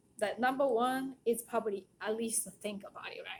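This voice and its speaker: A woman in a Japanese accent, fairly high in pitch, at a moderate pace. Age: 40s. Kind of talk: casual monologue.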